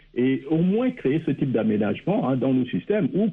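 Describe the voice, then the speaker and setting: A man speaks with very wide swings in pitch. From Gabon. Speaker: political analyst. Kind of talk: radio panel discussion.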